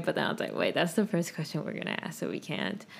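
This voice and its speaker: Recorded very cleanly against a silent background, a woman talks at a very fast pace, her fairly low voice showing vocal fry and ordinary pitch variation. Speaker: podcast co-host. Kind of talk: casual chat.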